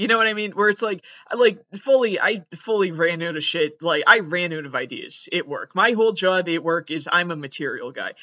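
A man in a Massachusetts accent speaks at a moderate pace and a high pitch. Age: 20s. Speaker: comedian. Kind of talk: comedic monologue.

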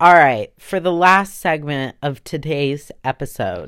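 The recording is very clean, with a silent background. A woman talks very slowly in a very deep, low pitch with lively intonation. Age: 20s. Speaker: podcast host. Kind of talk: casual solo chat, vulgar. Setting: home recording. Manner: casual, profane, sassy.

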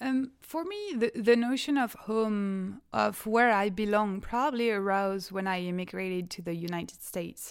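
A woman with a French accent talks at a moderate pace, with hardly any pauses. Her medium pitch shows ordinary variation. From France. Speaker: graduate student. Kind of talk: casual academic conversation. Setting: video call.

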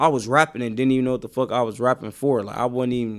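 On a very clean recording with a silent background, a man with an American accent speaks at a medium pitch in a monotone, flat delivery. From Milwaukee, Wisconsin (west side). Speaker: rapper. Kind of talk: casual interview chat.

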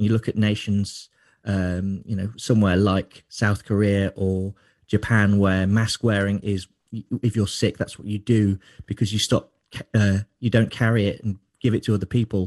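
A man talks at a moderate pace with monotone, flat intonation. His pitch is fairly low, and the background is quiet. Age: 30s. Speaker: beer writer. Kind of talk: interview. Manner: halting.

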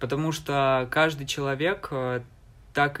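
An unremarkable speaking voice: a man at medium pitch, with fairly even intonation. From eastern Ukraine, Donbas (Alchevsk). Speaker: university student. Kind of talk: casual interview.

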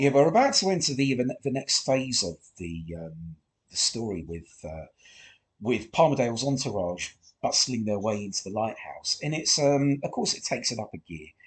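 A man speaks at a moderate pace with a medium pitch. His voice is somewhat breathy, with very wide pitch swings. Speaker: commentary podcaster. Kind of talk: episode commentary. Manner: halting, many fillers.

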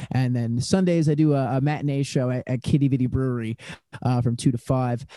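In a Newfoundland accent, a dark, mellow voice speaks at a very fast pace with fairly even intonation. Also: man. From Newfoundland, St. John's. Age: 20s. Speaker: singer-songwriter musician. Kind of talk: casual interview chat.

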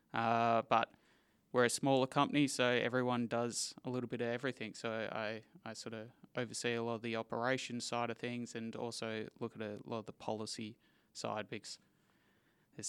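At a fairly quick pace, a man with an Australian accent talks at a medium pitch in a monotone, flat intonation. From Western Australia, Perth. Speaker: livestock export manager. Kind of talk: interview.

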